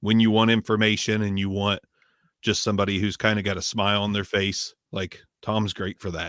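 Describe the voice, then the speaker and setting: On a very clean recording with a silent background, a man speaks at a fairly quick pace in a fairly low, monotone voice with flat intonation and a dry, close sound with no echo. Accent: Midwestern American. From Southern Ohio, US. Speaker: microphone reviewer. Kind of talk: casual chat. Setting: live stream.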